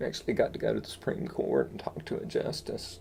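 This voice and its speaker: With an Appalachian accent, a man speaks at a fairly quick pace. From East Tennessee. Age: 60s. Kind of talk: interview answer.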